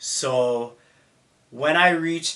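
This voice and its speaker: A man with a Toronto accent. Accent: Toronto Canadian English. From Canada, Mississauga near Toronto. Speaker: vlogger. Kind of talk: personal story. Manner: casual.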